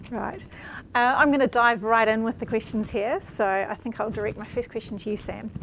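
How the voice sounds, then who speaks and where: Her fairly high voice holds a fairly even intonation as this woman speaks. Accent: New Zealand. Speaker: panel moderator, former scholarship recipient. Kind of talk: panel discussion moderation. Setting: live stream.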